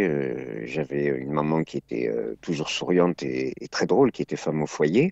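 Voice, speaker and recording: A man with a very deep, low pitch at a fairly slow pace. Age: 60s. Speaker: comedian and acting teacher. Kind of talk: interview, personal testimony.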